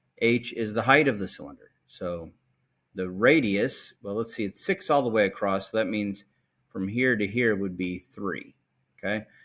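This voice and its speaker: A man with a plain, everyday voice, a fairly low pitch, ordinary pitch variation, and a moderate pace, on a very clean recording with a silent background. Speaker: math teacher. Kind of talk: tutorial.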